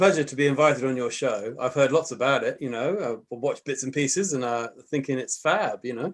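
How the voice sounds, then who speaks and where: A man with an English accent speaks at a fairly quick pace in a fairly high voice, with ordinary pitch variation and hardly any pauses. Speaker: podcast guest.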